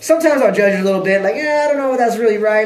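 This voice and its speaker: Room echo is audible and background noise is noticeable. A man speaks in a high voice with lively intonation. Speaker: vlogger. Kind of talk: casual monologue. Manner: fast.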